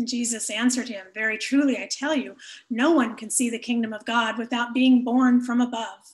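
There is a quiet background as a woman speaks in a high pitch. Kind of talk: scripture reading. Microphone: webcam.

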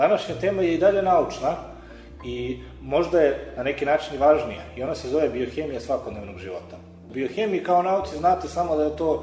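Amid audible room echo and faint background music, a man talks at a very fast pace. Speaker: radio show host. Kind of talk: radio show introduction. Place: studio.

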